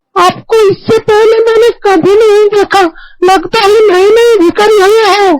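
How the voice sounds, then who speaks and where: A woman uses a cartoonish character voice at an extremely high pitch and a fairly slow pace. Her loudness is very even and her intonation fairly even. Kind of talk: cartoon dubbing. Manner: credulous, respectful, addresses him as baba.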